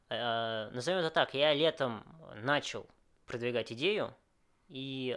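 In a very clean recording with a silent background, a man of medium pitch speaks very slowly, leaving long, frequent pauses, his pitch moving in an ordinary way. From Moscow, Russia. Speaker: restaurant chain founder. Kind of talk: interview. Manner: hesitant, many fillers.

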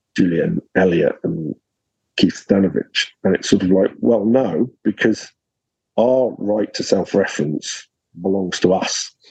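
A man with a southern English accent and a fairly low pitch, fairly slow pace and ordinary pitch variation, in a dry, close sound with no echo. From southern England. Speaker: academic researcher. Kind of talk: interview.

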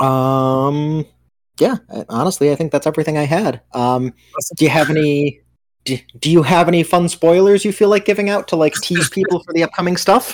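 Using an ordinary speaking voice, the male speaker talks at a medium tempo, pitched fairly high for a man, with normal pitch movement. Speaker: podcast co-host. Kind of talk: casual chat.

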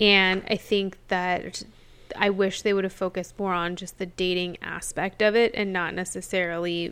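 Delivered in an American accent, the speech goes at a fairly slow pace with monotone, flat intonation. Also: woman. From small town, US. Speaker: podcast co-host. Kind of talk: casual chat.

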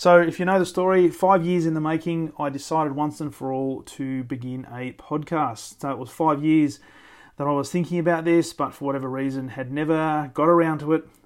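In an Australian accent, a man with a fairly high voice talks at a fairly quick pace with fairly even intonation, on a very clean recording with a silent background. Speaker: podcast host, sales leadership coach. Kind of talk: solo reflective monologue. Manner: natural, conversational.

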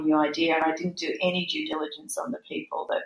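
In an Australian accent, a woman talks with a fairly low-pitched voice. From Australia, Brisbane (Queensland). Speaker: youth organisation CEO. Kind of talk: casual chat.

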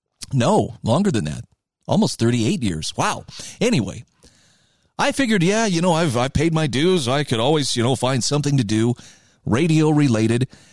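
A man speaks with lively intonation. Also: quiet background. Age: 50s. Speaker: radio talk show host. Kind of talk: political talk radio monologue.

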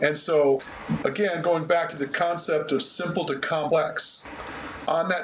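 Noticeable background noise under fairly even intonation. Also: man. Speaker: running coach. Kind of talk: casual interview, explanatory. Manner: talkative, uses analogies, jokey.

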